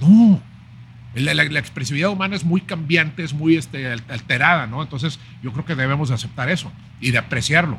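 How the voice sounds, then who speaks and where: A man speaks at a fairly quick pace in a normal speaking voice, fairly high in pitch. His pitch varies in an ordinary way. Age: 50s. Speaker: chef and writer. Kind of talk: casual interview.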